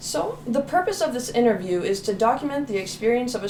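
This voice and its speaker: The speaker's intonation is lively and the pace moderate. Noticeable background noise can be heard throughout. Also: woman. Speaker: student interviewer. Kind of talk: interview questions.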